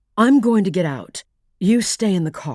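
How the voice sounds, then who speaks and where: A female-sounding voice does a put-on character voice with growling. It sits at a medium pitch and moves at a moderate pace. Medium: read story. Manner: polite, earnest.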